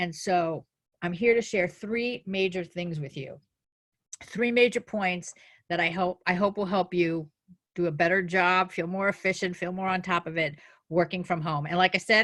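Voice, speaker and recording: This woman speaks in a New Jersey accent at a medium pitch. Her pace is moderate and her intonation fairly even. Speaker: life coach. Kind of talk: webinar presentation.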